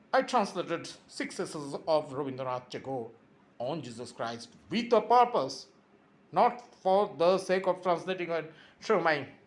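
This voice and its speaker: With a Bengali accent, a man speaks at a moderate pace and high pitch, his voice moving in very wide pitch swings. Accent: Indian (Bengali) English. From India (Bengal). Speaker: YouTuber. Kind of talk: impassioned monologue. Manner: animated.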